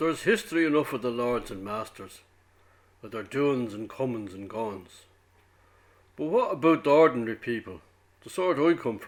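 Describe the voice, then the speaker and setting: A man with a Dublin accent speaks at a moderate pace and medium pitch, with lively intonation. His loudness swings widely, and he leaves long, frequent pauses. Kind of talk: prose monologue reading.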